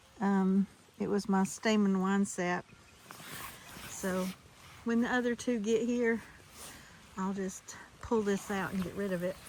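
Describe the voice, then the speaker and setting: Over noticeable background noise, a woman at a medium pitch speaks at a fairly slow pace in a monotone, flat intonation, leaving long, frequent pauses. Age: 60s. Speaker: home gardener vlogger. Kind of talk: casual vlog walkthrough. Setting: outdoors in backyard.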